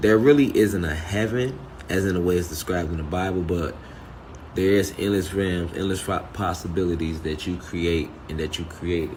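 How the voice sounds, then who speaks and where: A man with a very deep, low voice speaks at a moderate pace with ordinary pitch variation, over noticeable background noise and audible room echo. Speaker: spiritual teacher. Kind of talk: spiritual talk. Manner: soft-spoken; halting.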